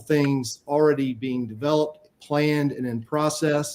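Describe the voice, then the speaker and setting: Fairly high-pitched male voice, dark and mellow in tone, with a Southern US accent, monotone, flat intonation, and a moderate pace. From US South, Spartanburg, South Carolina. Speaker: city council member, candidate. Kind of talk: candidate forum opening statement. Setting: virtual forum, video call.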